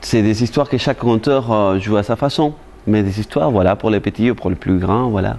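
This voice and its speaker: A man's plain, everyday voice, fairly low in pitch, with ordinary pitch variation, moderate pace and very even loudness. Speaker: storyteller. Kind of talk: interview answer.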